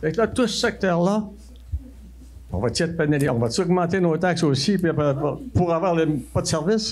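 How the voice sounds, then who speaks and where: A man with a Saguenay Quebec accent speaks at a high pitch with ordinary pitch variation and very even loudness. Long, frequent pauses break up his speech, and audible room echo is present. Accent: rural Saguenay Québécois French. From Quebec, L'Anse-Saint-Jean (Saguenay). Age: 80s+. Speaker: citizen at council question period. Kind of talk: public question at council meeting. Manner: halting, repetitive.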